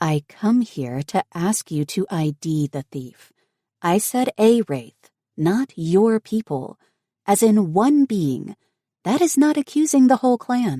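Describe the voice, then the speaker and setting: A put-on character voice, fairly high in pitch, swings very widely up and down at a fairly slow pace. The recording is very clean, with a silent background. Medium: read story.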